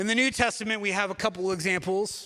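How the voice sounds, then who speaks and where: On a very clean recording with a silent background, a man speaks in a raised, projected voice at a high pitch and a fairly quick pace, his tone bright and sharp and his intonation fairly even. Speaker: pastor. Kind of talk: sermon. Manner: mumbling.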